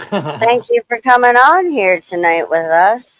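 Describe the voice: A female-sounding, robotic put-on character voice speaks at a fairly slow pace. Its pitch is fairly high.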